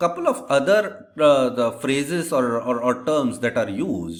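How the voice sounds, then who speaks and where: A fairly high-pitched man, fairly slow in pace, with very wide pitch swings. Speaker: lecturer. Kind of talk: lecture. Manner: slow, deliberate; repetitive, stumbling restarts.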